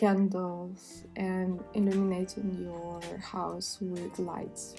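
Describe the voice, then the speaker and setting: Music plays behind a woman speaking at a very slow pace. Her medium-pitched voice stays monotone and flat. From Russia. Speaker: sustainability and mental health vlogger. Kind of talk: casual talk to camera.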